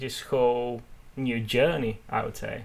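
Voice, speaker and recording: Monotone and flat, a man with a Bulgarian accent speaks at a medium pitch and a moderate pace. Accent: noticeable foreign accent (Bulgarian). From Bulgarian family. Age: 20s. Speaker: podcast co-host, entrepreneur and author. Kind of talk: casual chat.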